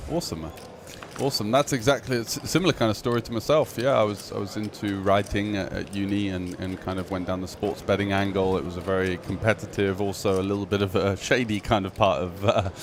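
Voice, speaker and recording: Noticeable background noise sits behind a man talking very fast. His pitch is fairly low, with ordinary variation. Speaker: poker commentator. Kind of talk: interview.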